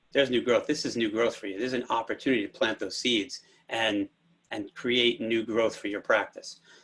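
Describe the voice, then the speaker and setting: Here is a man with an ordinary speaking voice at a medium pitch. He talks at a fairly quick pace with fairly even intonation. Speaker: physical therapy telehealth panelist. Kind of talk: webinar presentation.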